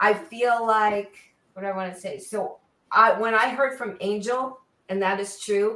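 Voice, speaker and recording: Bright and sharp in tone, a woman with an American accent speaks fairly slowly at a fairly high pitch with fairly even intonation. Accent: New York accent, comes out now and then. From New York. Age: 70s. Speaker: auto journalist. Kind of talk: interview chat.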